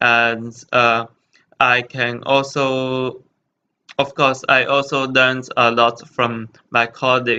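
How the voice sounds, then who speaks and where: A man with a Chinese accent talks at a very slow pace in a bright, sharp tone, with monotone, flat intonation and very even loudness. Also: medium pitch for a man. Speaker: hotel intern. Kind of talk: presentation. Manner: halting, many fillers.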